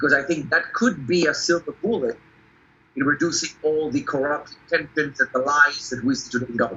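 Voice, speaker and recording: Fairly high-pitched for a man, his voice moves at a fairly quick pace with ordinary pitch variation. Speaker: political candidate. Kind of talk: interview.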